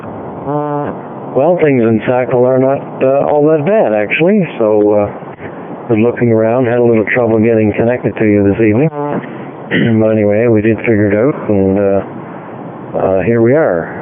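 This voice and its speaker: Medium-pitched male speech at a moderate tempo, pitch moving in an ordinary way, loudness very even throughout, noticeable noise in the background. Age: 70s. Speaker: amateur radio operator. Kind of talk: radio net check-in. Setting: digital radio link.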